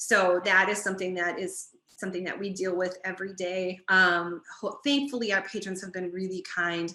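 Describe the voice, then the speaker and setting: A woman talks with hardly any pauses. Her intonation stays fairly even. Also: medium pitch for a woman. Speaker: library director. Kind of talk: webinar presentation. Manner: fast.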